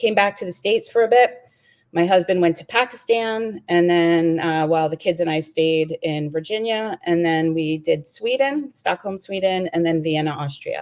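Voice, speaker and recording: With a New York accent, a woman talks at a moderate pace and with ordinary pitch variation in a very clean recording with a silent background. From New York City. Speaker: diplomat and mother. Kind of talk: casual interview.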